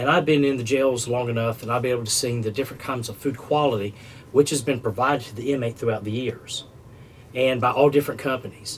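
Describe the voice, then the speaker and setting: A man with a North Carolina accent talks at a very fast pace, his medium pitch kept in fairly even intonation. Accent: Southern US, North Carolina. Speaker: food service business developer. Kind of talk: podcast interview.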